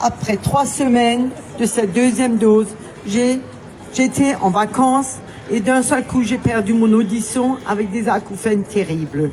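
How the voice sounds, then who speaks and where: A woman with a fairly high pitch talks at a fairly slow pace. Noticeable background noise and audible room echo surround her voice. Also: ordinary pitch variation. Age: 60s. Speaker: vaccine injury victim giving testimony. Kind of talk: testimony. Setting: outdoor demonstration, public address. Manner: reading a prepared statement.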